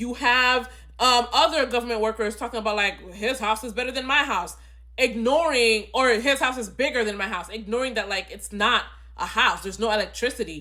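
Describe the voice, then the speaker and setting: A woman with a fairly high pitch talks at a fairly quick pace, with vocal fry in her voice. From immigrant, grew up outside the country she lives in. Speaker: film reviewer. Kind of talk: casual movie review monologue. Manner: halting, with frequent repetitions and fillers.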